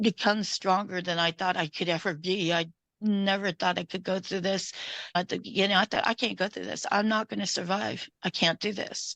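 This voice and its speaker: A woman speaks at a moderate pace in an ordinary speaking voice, medium in pitch. Her intonation stays fairly even over a quiet background. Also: dry, close sound with no echo. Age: 60s. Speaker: domestic violence survivor. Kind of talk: testimony.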